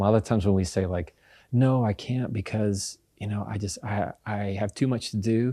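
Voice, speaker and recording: A dark, mellow tone comes at a moderate pace with fairly even intonation in a very clean recording with a silent background. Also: man, fairly low pitch for a man. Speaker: communication expert and lawyer. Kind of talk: podcast interview answer. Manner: calm.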